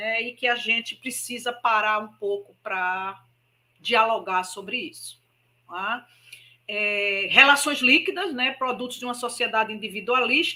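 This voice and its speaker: A woman's fairly high, bright, sharp voice at a fairly slow pace with lively intonation. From Brazil, Maceió, Alagoas (Northeast). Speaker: spiritist speaker. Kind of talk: public lecture.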